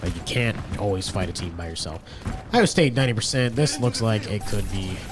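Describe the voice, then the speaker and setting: There is music in the background and audible room echo as a man speaks with lively intonation. His pitch is fairly low and his pace fairly quick. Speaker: esports caster. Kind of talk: live commentary. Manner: animated.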